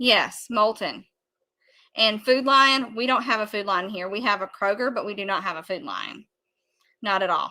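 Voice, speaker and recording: In a Southern US accent, a woman with a bright, sharp tone and fairly high pitch speaks at a moderate pace with ordinary pitch variation and long, frequent pauses, on a very clean recording with a silent background. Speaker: amateur radio youtuber. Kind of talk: casual live chat answering viewers. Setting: livestream.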